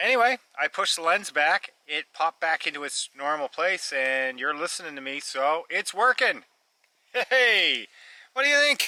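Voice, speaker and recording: A raised, projected voice with very wide pitch swings moves at a moderate pace, the sound dry and close with no echo. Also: man. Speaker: outdoor vlogger. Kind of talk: casual vlog narration. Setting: outdoors.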